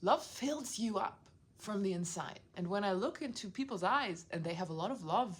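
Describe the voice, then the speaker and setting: At a moderate pace, a woman talks in an animated tone with lively intonation. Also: medium pitch for a woman. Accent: non-native. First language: not English. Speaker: video blogger. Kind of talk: casual monologue.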